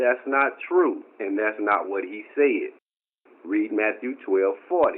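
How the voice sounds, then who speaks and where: Lively in intonation, a man talks at a very slow pace. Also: medium pitch for a man. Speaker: bible teacher. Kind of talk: amateur video commentary. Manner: informal, conversational. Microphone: poor recording quality.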